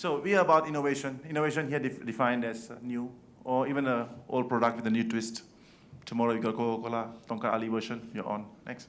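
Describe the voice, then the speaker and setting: A medium-pitched man at a very fast pace, with audible room echo. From Malaysia. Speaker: event organizer. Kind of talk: awards welcome speech.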